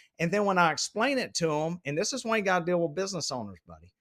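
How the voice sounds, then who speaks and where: Talking at a fairly quick pace, the speaker has a Southern US accent. The recording is very clean, with a silent background. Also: man. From US South, South Carolina. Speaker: logistics executive. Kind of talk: casual chat. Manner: animated.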